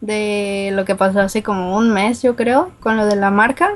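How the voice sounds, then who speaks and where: A woman with a northern Mexican accent speaks at a fairly slow pace. Her voice is fairly high, with fairly even intonation. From Guadalajara, Mexico. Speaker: listener caller. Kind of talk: casual chat.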